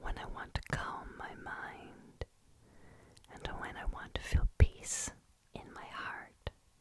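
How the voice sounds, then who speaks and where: Long, frequent pauses in a woman's very slow whisper, loudness swinging widely, noticeable background noise throughout. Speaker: ASMR creator. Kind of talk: ASMR poetry and prayer reading. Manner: whispered, soft, calming.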